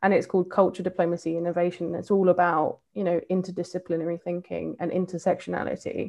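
Speaking at a very fast pace with hardly any pauses, a woman with an English accent keeps a monotone, flat intonation at a fairly low pitch. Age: 30s. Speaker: diversity and inclusion advocate. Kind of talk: casual chat.

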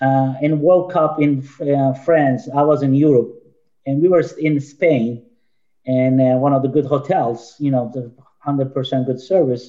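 A man with a Turkish accent talks at a fairly slow pace. His pitch is fairly high and his intonation fairly even. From Turkey. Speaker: youth soccer director and coach. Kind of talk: casual panel discussion.

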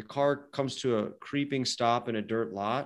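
This man has an unremarkable speaking voice with medium pitch and ordinary pitch variation. He talks at a fairly slow pace on a very clean recording with a silent background. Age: 30s. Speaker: creative director. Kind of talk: casual chat. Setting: studio.

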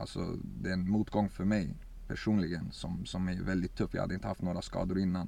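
Moving at a fairly quick pace, a man speaks with a very deep, low pitch and fairly even intonation. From Sweden, Örebro. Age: 20s. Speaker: footballer. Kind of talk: interview.

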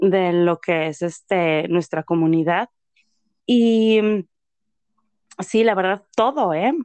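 A woman talks at a very slow pace with long, frequent pauses, using a medium pitch with ordinary variation. The sound is dry and close, with no echo. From Mexico, Tlaxcala. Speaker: entrepreneur. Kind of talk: interview. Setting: remote call.

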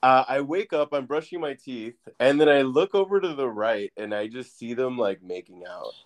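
A man speaks in a plain, everyday voice at a moderate pace, with hardly any pauses and lively intonation. His loudness swings widely, and the sound is dry and close with no echo. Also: medium pitch for a man. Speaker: podcast host. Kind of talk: casual chat. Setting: remote call.

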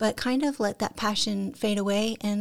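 A soft-spoken woman's medium-pitched voice at a fairly quick pace, with fairly even intonation. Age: 50s. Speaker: photographer and artist. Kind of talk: casual interview chat.

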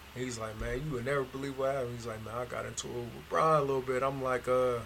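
Noticeable background noise and audible room echo surround a man who talks at a very fast pace in a monotone, flat intonation. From Northeast Ohio. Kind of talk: casual chat.

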